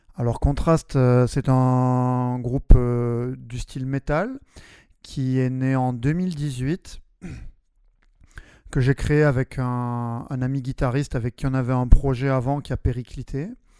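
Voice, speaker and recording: In a very clean recording with a silent background, a man speaks very slowly at a medium pitch, his tone dark and mellow and his intonation flat and monotone. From southwest France, Albi near Toulouse. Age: 30s. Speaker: metal band singer and primary school teacher. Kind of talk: interview. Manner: hesitant, many fillers.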